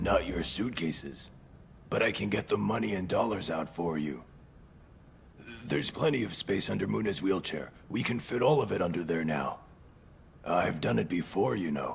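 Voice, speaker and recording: In a put-on character voice, a man speaks at a moderate pace with a very deep, low pitch, very wide pitch swings and long, frequent pauses, over clear background noise. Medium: fan dub. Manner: hesitant, stammering.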